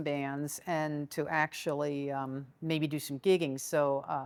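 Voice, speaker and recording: With an American accent, a woman speaks in a very deep, low pitch. Her pace is very slow. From Chevy Chase, Maryland. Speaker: baritone saxophonist, educator, composer, arranger. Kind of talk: interview answer.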